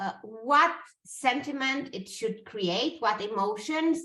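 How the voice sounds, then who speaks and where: A woman with a non-native accent speaks in a raised, projected voice at a very slow pace. Her tone is bright and sharp, and her pitch sits high. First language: not English. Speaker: brand strategist. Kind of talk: interview conversation. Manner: halting, many fillers.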